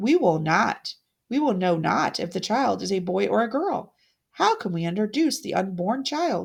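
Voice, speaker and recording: A woman in a put-on character voice, medium in pitch with very wide pitch swings, speaks at a moderate pace in a very clean recording with a silent background. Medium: read story. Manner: warm, courteous.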